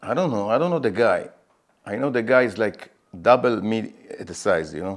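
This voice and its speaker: The speaker has an Israeli accent and lively intonation at a fairly quick pace. Loudness swings in a big way. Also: man, medium pitch for a man. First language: Hebrew. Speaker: MMA fighter. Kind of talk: interview. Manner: halting; animated.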